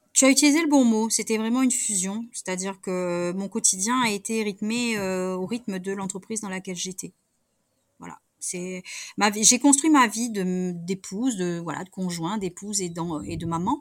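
A woman speaks in a plain, everyday voice at medium pitch, with big swings in loudness. The recording is very clean, with a silent background. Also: ordinary pitch variation, moderate pace. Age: 40s. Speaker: management coach, former insurance branch manager. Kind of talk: interview.

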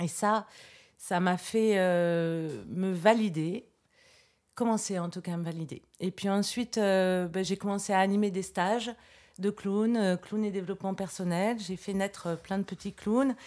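In a plain, everyday voice, a woman speaks at a medium pitch. Her pace is fairly slow and her intonation fairly even. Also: very clean recording, silent background. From France, Versailles. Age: 40s. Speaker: clown trainer and artist. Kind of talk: interview.

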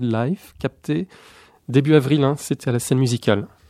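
A man's dark, mellow voice of medium pitch, with ordinary pitch variation, a moderate pace and a dry, close sound with no echo. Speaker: radio columnist. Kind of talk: casual radio chat.

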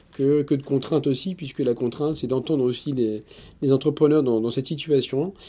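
A man speaks at a fairly high pitch and a moderate pace, with ordinary pitch variation. The recording is very clean, with a silent background. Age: 40s. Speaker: business owner. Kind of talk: interview. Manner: halting.

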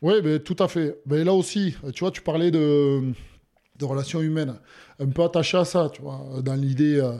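With long, frequent pauses, a man with a fairly high voice speaks at a moderate pace and ordinary pitch variation. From Hautes-Pyrénées, southwest France. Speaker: former rugby player, insurance broker. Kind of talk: interview. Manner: halting, many fillers and repetitions.

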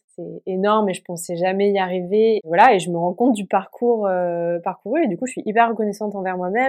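Music plays in the background as a woman talks at a moderate pace. Her pitch is medium and her intonation fairly even. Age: 20s. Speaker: podcast guest sharing eating disorder recovery. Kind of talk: personal testimony. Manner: hesitant with many fillers.

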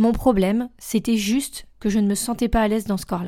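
A woman with a plain, everyday voice, fairly high in pitch and fairly even in intonation, in a very clean recording with a silent background. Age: 30s. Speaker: life coach, podcast host. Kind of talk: solo podcast monologue, self-introduction.

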